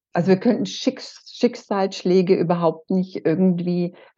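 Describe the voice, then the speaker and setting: A woman at a moderate pace. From Franconia, Bavaria (Erlangen). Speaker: happiness coach. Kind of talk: interview conversation.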